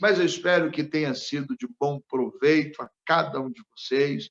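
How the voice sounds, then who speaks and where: This man talks at a very slow pace, his fairly high pitch showing ordinary variation. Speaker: pastor. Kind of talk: sermon.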